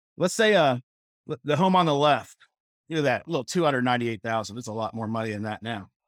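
With an American accent, a man talks very fast in an energetic tone, his pitch swinging very widely over a dry, close sound with no echo. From Missouri, rural. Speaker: real estate coach. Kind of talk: conference presentation. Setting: online summit.

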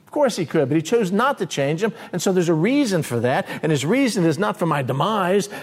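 Here a man talks at a fairly quick pace. His high voice moves in big pitch swings.

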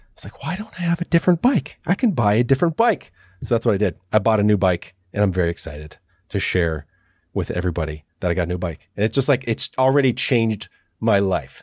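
A man talks at a very fast pace with very wide pitch swings around a fairly low pitch. The recording is very clean with a silent background, dry and close with no echo. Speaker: podcast host. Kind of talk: casual chat.

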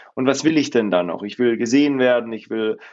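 An ordinary speaking voice, its pitch varying in an ordinary way. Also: man. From Swabia, southern Germany. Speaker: employee benefits consultant. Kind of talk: interview.

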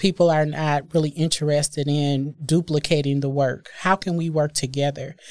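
A woman's very deep, low voice, flat and monotone at a moderate pace, on a very clean recording with a silent background. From US Midwest, Milwaukee. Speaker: diversity and inclusion executive. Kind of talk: interview conversation.

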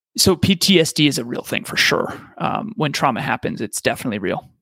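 A man at a moderate pace, lively intonation and vocal fry, the sound dry and close with no echo. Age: 30s. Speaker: podcast host and speaker. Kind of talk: interview.

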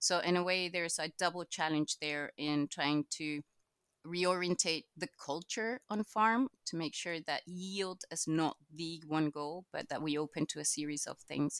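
Speaking at a fairly slow pace in a Spanish accent, a woman uses a fairly low pitch with ordinary variation, recorded dry and close with no echo. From Chile. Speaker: agricultural knowledge exchange manager. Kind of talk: casual interview.

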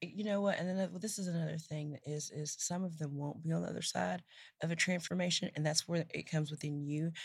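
Speaking at a very fast pace, a woman with a very deep, low pitch sounds somewhat breathy and animated. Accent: American. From East Texas. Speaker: startup founder and CEO. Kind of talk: casual interview. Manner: animated, laughs often.

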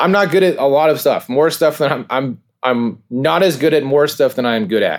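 With an American accent, a man speaks in an unremarkable speaking voice at a fairly quick pace with hardly any pauses, a fairly high pitch, and ordinary pitch variation, on a very clean recording with a silent background. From California. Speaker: minor league baseball team co-owner. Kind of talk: interview.

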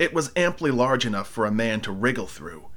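An unremarkable speaking voice from a man, with lively intonation, a moderate pace and a very clean recording with a silent background. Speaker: audiobook narrator. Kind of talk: dramatic first-person horror narration, reading aloud. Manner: breathless, frantic build through piled-up verbs; darkly theatrical, lingering on eerie description.

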